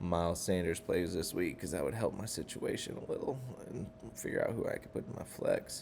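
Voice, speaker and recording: The voice is quiet. It moves at a moderate pace. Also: man. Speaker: fantasy football league member recapping. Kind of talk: casual recap vlog. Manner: quiet, keeping voice down.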